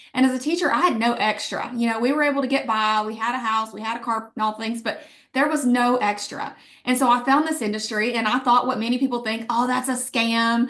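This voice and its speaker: Speaking with an Alabama accent, a woman uses a high pitch and a fairly quick pace. Her tone is animated. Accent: Southern (Alabama). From Alabama, US South. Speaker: network marketing leader, former teacher. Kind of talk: sales pitch.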